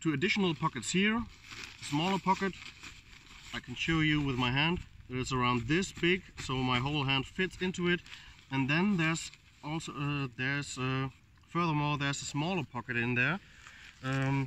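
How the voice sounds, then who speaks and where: This man talks at a moderate pace with a non-native accent and a fairly high pitch, leaving long, frequent pauses. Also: ordinary pitch variation. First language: non-native English speaker. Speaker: outdoor gear reviewer. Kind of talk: casual product review to camera. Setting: outdoors. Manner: hesitant, many fillers.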